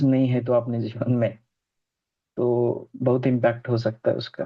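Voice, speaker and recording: The speaker is a man with a medium-pitched voice. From Maharashtra, India. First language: Marathi (speaking Hindi). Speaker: numerology student. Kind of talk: student presentation feedback chat.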